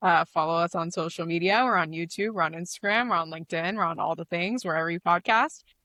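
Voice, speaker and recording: A woman with an American accent and a bright, sharp tone, at a fairly quick pace against a quiet background. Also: dry, close sound with no echo. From Arizona. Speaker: media co-founder, former intelligence community professional. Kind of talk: podcast interview.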